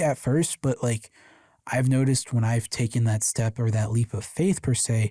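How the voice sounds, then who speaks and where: A man's somewhat breathy voice has a dark, mellow tone and a medium pitch. The recording is very clean and silent behind him, with a dry, close sound and no echo. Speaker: podcast host. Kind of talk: casual chat; reading aloud. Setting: live stream. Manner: fast.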